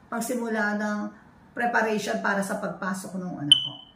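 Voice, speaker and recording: A woman speaks with ordinary pitch variation. Noticeable background noise and audible room echo surround her voice. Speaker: family vlogger. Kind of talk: casual show-and-tell vlog. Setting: at home.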